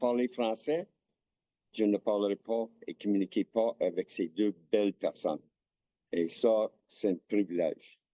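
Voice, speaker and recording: A man talks very slowly in an English accent at a medium pitch. The sound is dry and close, with no echo. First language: English (speaking French). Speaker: hockey player's father. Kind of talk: interview.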